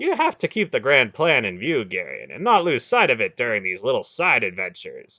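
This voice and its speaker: Doing a put-on character voice, a man talks at a fairly quick pace with a fairly high pitch and hardly any pauses. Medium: read story. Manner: wry, needling.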